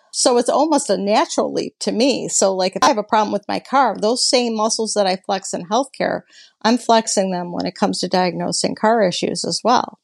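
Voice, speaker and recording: A woman's fairly high, vocal-fry voice at a fairly quick pace, hardly pausing, with ordinary pitch variation, dry and close with no echo over a quiet background. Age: 50s. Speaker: hot rod builder and restoration business owner. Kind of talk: interview.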